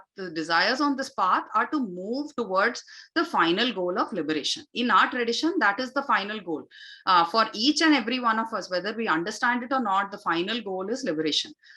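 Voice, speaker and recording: A woman with a Tamil accent talks at a fairly quick pace in a bright, sharp tone, her pitch swinging very widely. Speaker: yoga and Vedic chant teacher. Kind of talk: spiritual talk / online session. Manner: frequent fillers (uh, you know).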